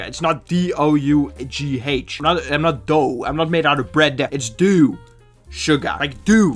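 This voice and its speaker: An animated tone with ordinary pitch variation, over music in the background. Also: man. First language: not English. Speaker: YouTuber reading Reddit posts. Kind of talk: comedic commentary with reading aloud.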